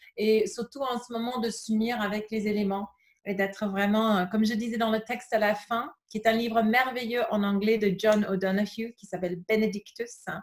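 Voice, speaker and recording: A woman with an English accent, fairly high in pitch and somewhat breathy, at a moderate pace with fairly even intonation. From England. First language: English (speaking French). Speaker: yoga teacher. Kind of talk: casual interview. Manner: halting, many fillers.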